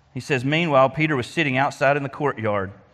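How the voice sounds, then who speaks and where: In an Arkansas accent, a man talks fairly quickly at medium pitch, his tone bright and sharp and his pitch varying in an ordinary way. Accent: US Southern (Arkansas). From Arkansas (Faulkner County). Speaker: lay preacher at a church. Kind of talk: sermon.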